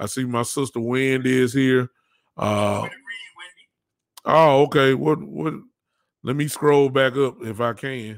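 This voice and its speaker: Very slow, fairly evenly intoned speech from a man with a Southern US accent, medium pitch, and long, frequent pauses. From US South. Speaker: podcast host. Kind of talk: casual chat.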